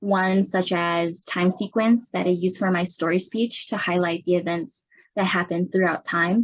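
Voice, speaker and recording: A somewhat breathy woman at a moderate pace over a quiet background. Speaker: student, army medic. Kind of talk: class presentation. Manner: raised pitch to project.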